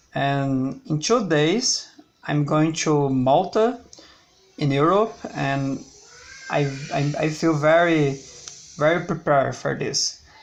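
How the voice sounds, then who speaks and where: Speaking with a Brazilian Portuguese accent, a man has a fairly high pitch and ordinary pitch variation. He goes at a very slow pace with long, frequent pauses, and background noise is noticeable. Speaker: language learner vlogger. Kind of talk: personal video diary. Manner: halting, with frequent repetitions.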